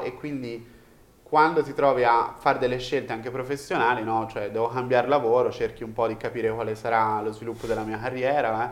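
A man of medium pitch, an unremarkable speaking voice, fairly even intonation. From Tuscany, Italy (province of Florence). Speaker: startup founder and CEO. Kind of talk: casual interview chat.

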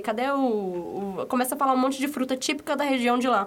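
A woman talks with lively intonation. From São Paulo, Brazil. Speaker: podcast co-host. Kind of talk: casual chat.

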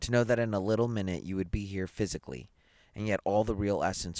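Plain reading aloud, its intonation fairly level

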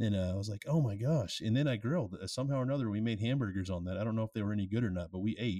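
On a very clean recording with a silent background, a man with a fairly low pitch speaks at a very fast pace in an animated tone, with ordinary pitch variation and hardly any pauses. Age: 30s. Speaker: beer review podcast co-host. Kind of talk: casual chat.

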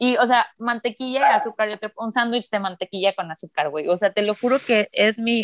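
Dry and close with no echo, a woman's fairly high voice shows ordinary pitch variation. She speaks with hardly any pauses. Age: 30s. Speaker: podcast host. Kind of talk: casual chat. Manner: talkative.

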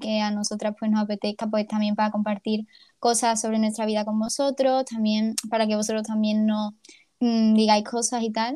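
Recorded very cleanly against a silent background, a woman speaks at a moderate pace. Her pitch is fairly high. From Ceuta, Spain. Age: 20s. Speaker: podcast co-host, university student. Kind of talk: casual chat.

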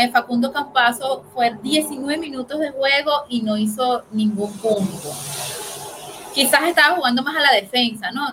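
Noticeable background noise sits behind a woman talking at a fairly slow pace. Her pitch is high and her intonation lively. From Venezuela. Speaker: sports commentator. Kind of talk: casual sports panel talk.

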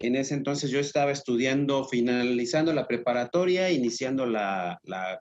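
Here is a normal speaking voice, a man at medium pitch with ordinary pitch variation and a moderate pace. The sound is dry and close, with no echo. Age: 50s. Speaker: shoe and clothing distributor, business owner. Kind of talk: interview.

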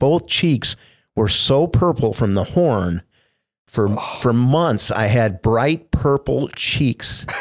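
Here is a man with an American accent and a normal speaking voice. He talks at a medium pitch and a fairly slow pace. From US Midwest, finished in Indianapolis. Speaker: former TV sports anchor. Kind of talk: casual interview.

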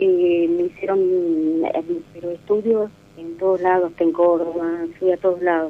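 Over noticeable background noise, a woman speaks very slowly with a fairly low pitch and monotone, flat intonation. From Argentina, Catamarca (capital city). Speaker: caller. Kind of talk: phone-in counselling conversation.

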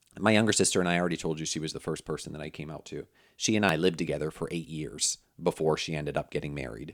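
A man's very deep, low voice with vocal fry and ordinary pitch variation, very fast pace, in a very clean recording with a silent background. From Pennsylvania. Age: 40s. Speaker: communication expert and podcast host. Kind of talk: conversational interview.

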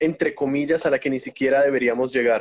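A man's fairly high-pitched voice, monotone with flat intonation. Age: 20s. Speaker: university student and TikTok creator. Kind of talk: casual interview. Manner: halting, many repetitions.

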